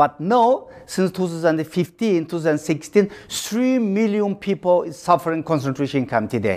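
With a Xinjiang accent, a man talks at a high pitch and a moderate pace, with hardly any pauses. His intonation is lively, and there is noticeable background noise. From East Turkestan (Xinjiang, China). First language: Uyghur. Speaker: activist and author. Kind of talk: interview. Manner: halting.

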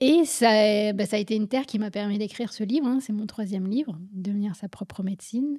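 A woman's fairly high, somewhat breathy voice with a dark, mellow tone, ordinary pitch variation and hardly any pauses. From France, Paris suburbs. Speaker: physician and author. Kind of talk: interview.

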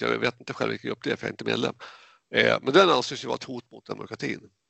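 A man talks at a very fast pace, his loudness rising and falling sharply. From Sweden, Jämtland. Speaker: IT database worker, media critic group member. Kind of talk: casual interview chat. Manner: halting, repetitive.

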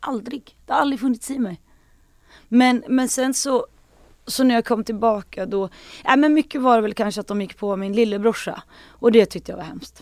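On a very clean recording with a silent background, a woman with a normal speaking voice, fairly high in pitch, talks at a moderate pace with ordinary pitch variation and big swings in loudness. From Sweden, Hälsingland. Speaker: singer and actress. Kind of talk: casual chat.

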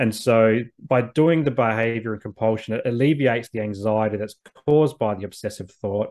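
At a moderate pace, a man with an Australian accent speaks at a medium pitch with ordinary pitch variation. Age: 30s. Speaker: social worker and men's mental health advocate. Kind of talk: interview conversation.

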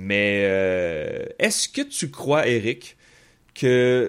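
Heard on a very clean recording with a silent background, a man speaks at a medium pitch. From Quebec City. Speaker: political analyst podcast host. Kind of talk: casual chat.

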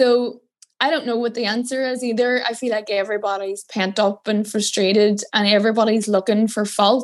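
A woman's fairly high voice with a Northern Irish accent, at a fairly quick pace with monotone, flat intonation. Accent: Derry. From Northern Ireland, Derry. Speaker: political journalist. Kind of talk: casual interview.

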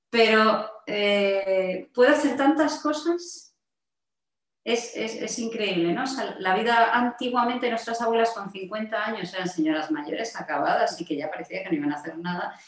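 A woman with a fairly high pitch speaks at a moderate speed, her voice swinging very widely in pitch. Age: 50s. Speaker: health coach and mentor. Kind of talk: interview.

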